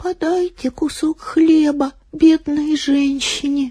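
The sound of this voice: This is a put-on character voice that sounds shaky. It moves at a fairly slow pace. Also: female-sounding voice, high pitch for a woman.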